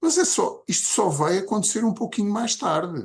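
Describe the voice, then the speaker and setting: A man speaks with vocal fry against a quiet background. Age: 60s. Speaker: podcast co-host. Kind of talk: casual chat.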